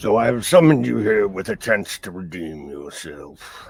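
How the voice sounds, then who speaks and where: Someone puts on a raspy character voice at a moderate pace. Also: man, very deep, low pitch for a man. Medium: actual play. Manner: menacing, slow, domineering.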